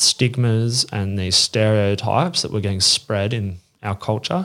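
With an Australian accent, a man speaks at a fairly low pitch with ordinary pitch variation. The recording is very clean, the background silent. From Australia, northern beaches of Sydney. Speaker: magazine publisher. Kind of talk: casual chat. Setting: sitting at a table in person.

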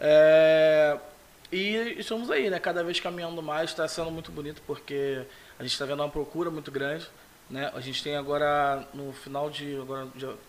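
A man speaks at a moderate pace in an unremarkable speaking voice, fairly high in pitch and with fairly even intonation. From São Gonçalo, Brazil. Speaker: photographer. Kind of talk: casual interview. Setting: studio.

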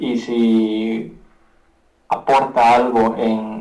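Here is a man with a medium-pitched voice. His intonation is monotone and flat. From Guatemala. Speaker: rapper and beatmaker. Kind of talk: casual interview chat. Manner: halting, many repetitions.

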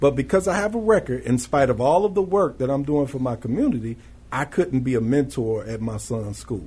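An American accent marks this man's dark, mellow, somewhat breathy voice at a medium pitch. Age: 40s. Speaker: reentry project manager. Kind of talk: radio interview. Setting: studio.

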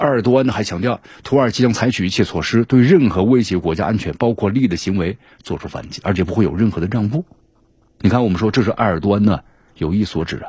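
Speaking at a very fast pace, a man with a fairly low pitch has a dark, mellow tone that is somewhat breathy. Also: ordinary pitch variation. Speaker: news commentary show host. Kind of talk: news commentary monologue. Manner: animated, conversational with many fillers.

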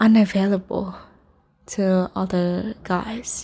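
A woman speaks at a very slow pace in a Vietnamese accent, her voice somewhat breathy. Her tone is dark and mellow, with monotone, flat intonation. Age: 20s. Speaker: podcaster, English instructor. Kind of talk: personal monologue. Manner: halting.

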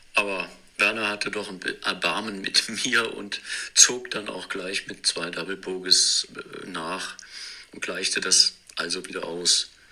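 A man talks at a very slow pace, with long, frequent pauses. His loudness swings widely. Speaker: disc golf player. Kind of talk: scripted narration. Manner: narrative storytelling.

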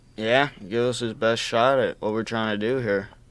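Speaking with an American accent, a man with an unremarkable speaking voice keeps a medium pitch and fairly even intonation at a fairly quick pace. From Arizona, Tucson. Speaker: college student podcast host. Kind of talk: casual chat. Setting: studio.

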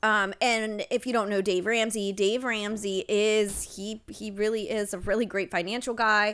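In an American accent, a woman with a fairly high pitch talks at a moderate pace in a flat monotone, hardly pausing, on a very clean recording with a silent background. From Ohio. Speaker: podcast co-host. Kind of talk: casual chat. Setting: home.

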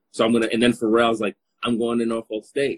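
In an American accent, a man speaks at a medium pitch with a dry, close sound and no echo. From Los Angeles, Congolese family. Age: 30s. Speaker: podcast host. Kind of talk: casual chat. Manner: animated.

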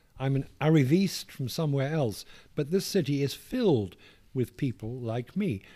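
Over a very clean recording with a silent background, a man speaks with a fairly high pitch, a dark, mellow tone, and lively intonation. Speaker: author reading own memoir. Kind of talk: interview with reading aloud from book.

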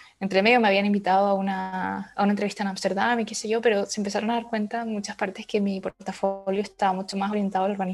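With a Chilean accent, a woman talks at a very fast pace with hardly any pauses and medium pitch. Her intonation is monotone and flat, and music plays in the background. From Chile, Valdivia. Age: 20s. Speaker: urban planner. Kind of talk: interview.

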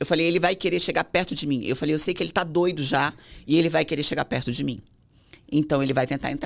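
A woman talks at a very fast pace with a very deep, low pitch and ordinary pitch variation. The recording is very clean, with a silent background. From São Paulo, Brazil. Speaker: singer's wife. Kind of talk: casual chat.

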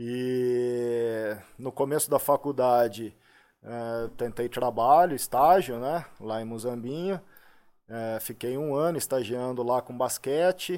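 At a very slow pace and with ordinary pitch variation, the speech comes through a very clean recording with a silent background. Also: man, medium pitch for a man. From Brazil, Limeira (São Paulo state). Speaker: personal trainer. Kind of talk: podcast interview. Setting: studio.

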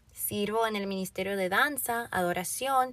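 On a very clean recording with a silent background, a woman talks at a moderate pace in an unremarkable speaking voice, medium in pitch with ordinary pitch variation. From Florida, Dominican family. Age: young. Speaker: podcast host and youth pastor. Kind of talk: personal introduction monologue.

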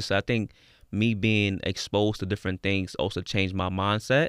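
A plain, everyday voice with an American accent, fairly quick and fairly even in intonation, very even in loudness, on a very clean recording with a silent background. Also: man. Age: 20s. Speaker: school social worker and trauma therapist. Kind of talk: casual chat.

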